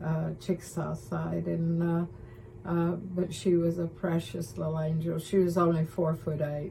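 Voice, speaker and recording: This woman's voice is fairly low in pitch, somewhat breathy and dark and mellow in tone, with fairly even intonation. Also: fairly slow pace. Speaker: author. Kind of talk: interview.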